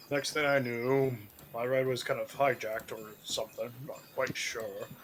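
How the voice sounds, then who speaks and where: This man uses a put-on character voice at a medium pitch. He speaks at a moderate pace. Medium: actual play. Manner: rambling, vague.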